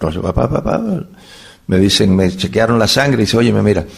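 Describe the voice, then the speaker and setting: Talking at a fairly quick pace, a man uses very wide pitch swings. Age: 70s. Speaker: bible teacher. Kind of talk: lecture. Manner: animated.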